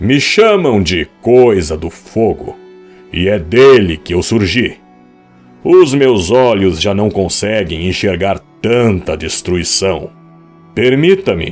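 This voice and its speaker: Over faint background music, a man puts on a booming character voice, fairly low in pitch and delivered at a fairly slow pace. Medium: read story. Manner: solemn, weary.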